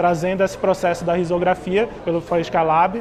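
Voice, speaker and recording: A high-pitched male voice at a moderate pace over noticeable background noise. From northern Brazil (Belém, Pará). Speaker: graphic artist. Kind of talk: interview.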